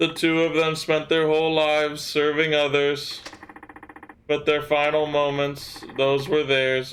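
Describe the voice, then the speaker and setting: Using a put-on character voice, a man talks at a fairly slow pace with a fairly high pitch, monotone, flat intonation and very even loudness. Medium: game stream.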